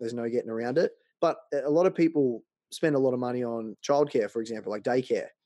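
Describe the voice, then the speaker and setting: Very fast speech comes from a man with an Australian accent, medium in pitch with ordinary variation and a dark, mellow tone, in a dry, close sound with no echo. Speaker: personal finance blogger. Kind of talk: interview.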